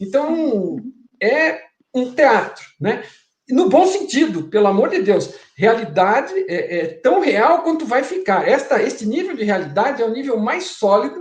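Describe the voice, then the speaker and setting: This man's voice sits extremely high and swings very widely in pitch. He speaks at a fairly slow pace, with audible room echo. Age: 60s. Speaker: guest explaining a spiritual theory. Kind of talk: interview conversation.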